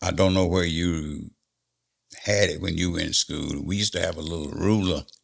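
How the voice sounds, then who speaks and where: A man speaks with a very deep, low pitch and fairly even intonation. His pace is moderate. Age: 80s+. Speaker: interview guest. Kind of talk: interview answer.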